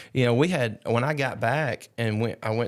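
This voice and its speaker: On a very clean recording with a silent background, a man in an Alabama accent talks at a fairly quick pace with ordinary pitch variation. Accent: US Southern (Alabama). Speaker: charity founder and long-distance rider. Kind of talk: casual chat.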